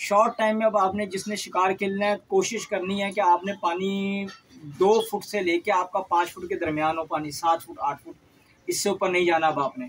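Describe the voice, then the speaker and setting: Against light background noise, a man with a high pitch speaks at a fairly slow pace with ordinary pitch variation. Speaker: fishing bait seller. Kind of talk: tutorial. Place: home room. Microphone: phone near.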